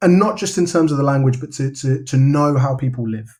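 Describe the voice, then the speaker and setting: Talking at a fairly quick pace, a man with a London accent uses a fairly high, somewhat breathy voice with ordinary pitch variation. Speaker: novelist. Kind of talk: podcast interview. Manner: casual, with many repetitions and fillers.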